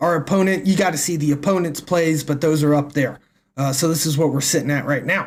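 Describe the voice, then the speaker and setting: A man with an American accent talks at a fairly quick pace in a fairly high pitch. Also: very even loudness. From US South, northwest Tennessee. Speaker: game streamer. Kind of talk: live gameplay commentary. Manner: casual, animated.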